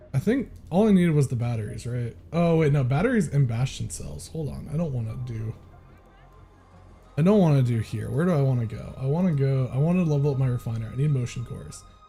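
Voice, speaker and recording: A man's medium-pitched voice with lively intonation at a fairly quick pace, with music in the background. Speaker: streamer. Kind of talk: casual chat.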